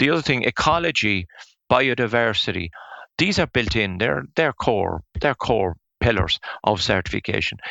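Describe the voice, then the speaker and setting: A man speaks in an Irish accent. His pitch swings very widely. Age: 60s. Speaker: forest owner and firewood business owner. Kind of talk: interview. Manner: halting, with frequent repetitions.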